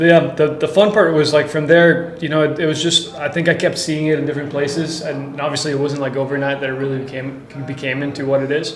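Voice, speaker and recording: With audible room echo and noticeable background noise, a man talks at a very fast pace in a fairly high pitch with monotone, flat intonation. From Costa Rica. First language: Spanish. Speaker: tequila brand founder. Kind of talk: podcast interview.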